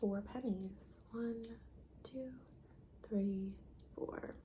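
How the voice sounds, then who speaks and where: Soft-spoken and calm in tone, the speaker has an American accent and a very slow pace. Noticeable background noise can be heard. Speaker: ASMR content creator. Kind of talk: ASMR soft-spoken roleplay giving instructions to the viewer. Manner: soft-spoken, calm.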